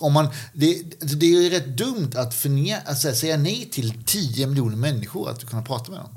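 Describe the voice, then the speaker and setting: Lively intonation marks this somewhat breathy voice at a moderate pace. Audible room echo surrounds it. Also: man, fairly high pitch for a man. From Skåne, southern Sweden. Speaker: podcast co-host. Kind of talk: casual Q&A discussion.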